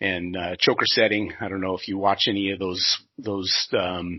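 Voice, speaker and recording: A man with a Pacific Northwest accent speaks at a moderate pace. His very deep, low voice stays monotone and flat. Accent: Pacific Northwest American. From US Pacific Northwest (southwest Washington). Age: 40s. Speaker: sawmill industry manager. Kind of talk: podcast interview. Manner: hesitant, many fillers and restarts.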